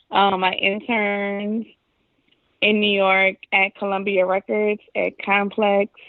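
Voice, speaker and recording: A woman speaks in a New Orleans accent at a medium pitch. Her intonation is monotone and flat. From New Orleans, Louisiana. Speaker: video producer. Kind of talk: casual interview.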